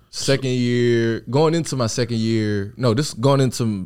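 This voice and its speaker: In a Louisiana accent, the speaker talks at a fairly slow pace with ordinary pitch variation. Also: man. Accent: Southern US, Louisiana. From Louisiana, Opelousas. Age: 20s. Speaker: entrepreneur, rental car business owner. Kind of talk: casual podcast interview. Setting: in-person studio.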